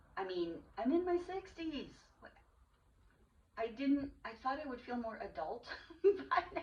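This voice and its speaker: This woman's voice is high, with very wide pitch swings and big swings in loudness. She goes at a fairly slow pace, leaving long, frequent pauses. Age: 60s. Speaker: podcast host. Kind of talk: casual chat.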